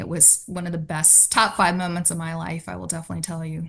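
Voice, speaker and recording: A woman with vocal fry, a fairly low pitch, fairly even intonation and a fairly quick pace, against a quiet background. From US, Richmond, Virginia. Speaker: finance executive. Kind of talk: interview.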